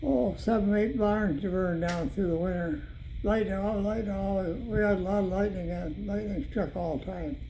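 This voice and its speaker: With an American accent, a man speaks at a moderate pace and a high pitch with ordinary pitch variation over noticeable background noise. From Michigan. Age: 80s+. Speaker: war veteran. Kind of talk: family history interview answer.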